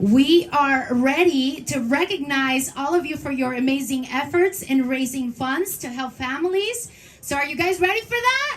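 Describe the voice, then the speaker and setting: Speaking in a Spanish accent, a woman uses a high pitch, lively intonation and a moderate pace with hardly any pauses. Her loudness swings widely. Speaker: event emcee. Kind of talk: event announcing. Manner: animated.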